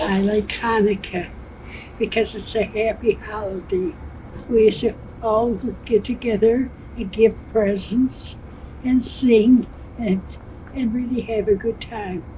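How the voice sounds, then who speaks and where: A woman with a fairly high pitch speaks fairly slowly, with long, frequent pauses. Noticeable background noise is present. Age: 80s+. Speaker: senior living resident. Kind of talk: interview.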